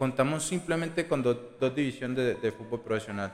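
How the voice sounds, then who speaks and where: A man's voice with ordinary pitch variation. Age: 20s. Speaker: youth football coach. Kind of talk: casual interview.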